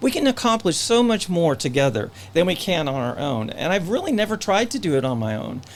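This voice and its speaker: A man speaks at a high pitch with very wide pitch swings. His pace is moderate, and there is noticeable background noise. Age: 60s. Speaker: local political candidate. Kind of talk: candidate interview. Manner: halting, with false starts.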